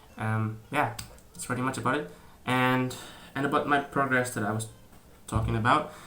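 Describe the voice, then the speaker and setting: A man's medium-pitched voice with fairly even intonation and long, frequent pauses, amid audible room echo and noticeable background noise. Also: moderate pace. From Indonesia. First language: Indonesian. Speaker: YouTuber. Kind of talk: casual vlog talk. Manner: halting, many fillers and restarts.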